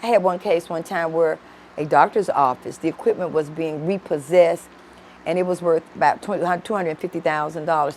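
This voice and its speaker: Delivered at a fairly quick pace in an American accent, the speech keeps a fairly even intonation. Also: woman. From Memphis, Tennessee (US South). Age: 60s. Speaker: judge. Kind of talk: interview.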